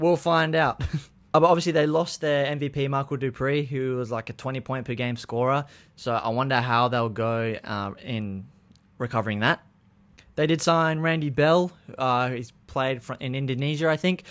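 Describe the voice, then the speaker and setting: The man's pitch shows ordinary variation. He keeps to a moderate pace. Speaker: sports vlogger. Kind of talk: commentary. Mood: light, joking. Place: home room. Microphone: studio mic.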